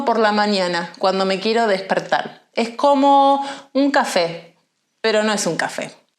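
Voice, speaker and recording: A woman with a Buenos Aires accent, fairly slow and fairly high-pitched, with lively intonation and audible room echo. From Argentina, Buenos Aires. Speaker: Spanish teacher. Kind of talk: language lesson monologue. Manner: clear.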